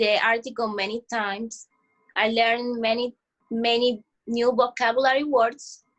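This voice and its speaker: With music in the background, a woman speaks at a high pitch and a fairly slow pace, her intonation fairly even. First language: not English. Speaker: ESL student. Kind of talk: mock exit interview. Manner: halting.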